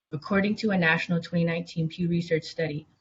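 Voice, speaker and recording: Music plays behind a woman who talks at a very fast pace in a fairly low pitch, with an American accent and fairly even intonation. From California. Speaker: public commenter. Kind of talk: prepared public comment. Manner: formal.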